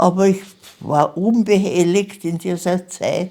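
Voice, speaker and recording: Very slowly, a woman speaks in a fairly low pitch with a dark, mellow tone. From Austria, Vienna. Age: 90s. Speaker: Holocaust survivor. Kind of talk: interview testimony.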